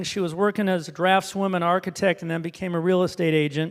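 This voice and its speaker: With a Midwestern American accent, a man talks at a very fast pace and a high pitch. His intonation is fairly even, on a very clean recording with a silent background. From Indiana, US Midwest. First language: Hebrew. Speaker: author and speaker. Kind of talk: talk to an audience.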